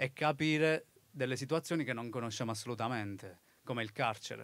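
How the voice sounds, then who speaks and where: The room gives no echo, leaving the sound dry. His pitch moves in an ordinary way as the man goes at a moderate pace. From Basilicata, southern Italy (Tricarico); Basilicata, Italy. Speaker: author; interviewee. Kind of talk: live talk interview. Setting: festival stage with audience. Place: open country. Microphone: handheld.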